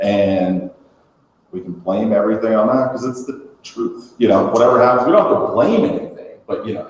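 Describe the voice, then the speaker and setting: Amid audible room echo, a man talks at a fairly quick pace with big swings in loudness. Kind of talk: conference panel talk. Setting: conference room. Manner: fast; mumbling.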